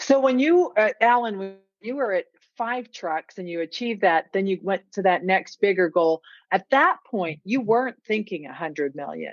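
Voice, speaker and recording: Her intonation lively, a woman with an unremarkable speaking voice speaks at medium pitch and a moderate pace. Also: big swings in loudness. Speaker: podcast host. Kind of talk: podcast interview questions.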